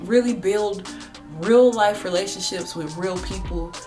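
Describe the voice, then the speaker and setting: Music plays in the background as a woman talks at a moderate pace amid audible room echo. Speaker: beauty and lifestyle vlogger. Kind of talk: casual chat.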